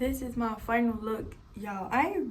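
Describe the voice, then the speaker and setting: Audible room echo and noticeable background noise around a fairly high female voice. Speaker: beauty vlogger. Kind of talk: casual vlog tutorial.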